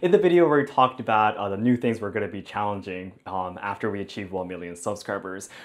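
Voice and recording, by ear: Speaking at a fast pace, a man uses a fairly low pitch with ordinary pitch variation.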